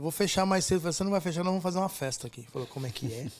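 A man's voice, with ordinary pitch variation, comes through on a very clean recording against a silent background. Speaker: party DJ. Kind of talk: casual chat. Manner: animated.

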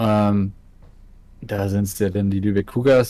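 A man's fairly low voice with a northern German accent and fairly even intonation. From northern Germany, Ratzeburg. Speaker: streamer. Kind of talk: casual chat.

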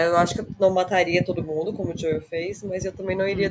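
Fairly quick speech from a woman at medium pitch, with fairly even intonation and noticeable background noise. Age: 30s. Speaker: nutrition student, former lawyer, gamer. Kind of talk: casual chat.

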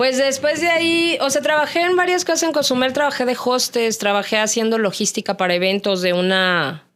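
Very wide pitch swings run through a woman's high voice as she talks at a fairly quick pace with very even loudness. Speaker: radio announcer. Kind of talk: casual chat.

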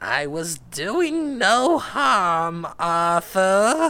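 A natural voice reading out loud

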